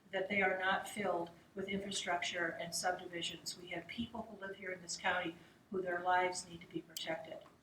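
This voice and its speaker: Over noticeable background noise, a woman talks at a fairly quick pace in a medium pitch with monotone, flat intonation. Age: 60s. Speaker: political candidate. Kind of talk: campaign speech at candidate forum. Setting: public forum.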